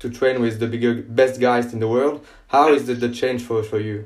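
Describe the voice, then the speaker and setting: In a French accent, a man speaks at a medium pitch with fairly even intonation. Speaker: podcast host. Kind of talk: interview. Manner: halting.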